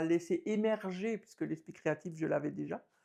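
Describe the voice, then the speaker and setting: A fairly low-pitched woman's voice with fairly even intonation. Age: 50s. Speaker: abstract painter and art teacher. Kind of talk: interview. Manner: hesitant, many fillers.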